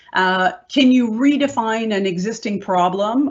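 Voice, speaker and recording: Music plays in the background. A woman talks at a fairly high pitch with lively intonation. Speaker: business consultant. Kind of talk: panel presentation. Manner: fast.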